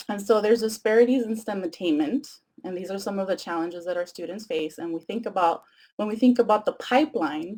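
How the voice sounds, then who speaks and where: A woman with a Spanish accent, a dark, mellow tone and a very fast pace. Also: medium pitch for a woman, ordinary pitch variation. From Mexico (Tijuana), moved to San Diego at ten. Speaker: education professor. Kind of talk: lecture. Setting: webcast.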